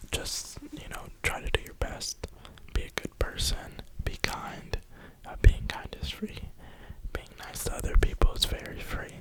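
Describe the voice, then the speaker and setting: Someone whispers in an American accent. Noticeable background noise is present. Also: fairly slow pace. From New York (Brooklyn). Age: 20s. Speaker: ASMR creator. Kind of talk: whisper ramble. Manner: whispering.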